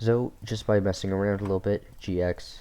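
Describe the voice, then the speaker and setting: A man talks at a fairly slow pace. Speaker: tutorial creator. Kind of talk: software tutorial. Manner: casual, self-correcting.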